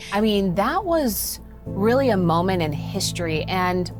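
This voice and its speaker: Music plays in the background as a woman speaks with an American accent. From Texas. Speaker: radio news anchor. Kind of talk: interview answer.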